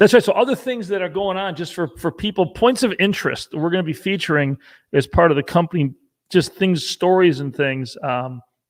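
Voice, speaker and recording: With a high pitch, a fairly quick pace and lively intonation, a man talks over a very clean recording with a silent background. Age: 60s. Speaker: company CEO. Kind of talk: casual chat. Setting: livestream.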